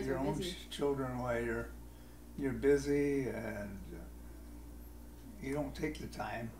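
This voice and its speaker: A man talks at a very slow pace, with long, frequent pauses. Noticeable background noise is present. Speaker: grandfather being interviewed. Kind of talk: interview answer.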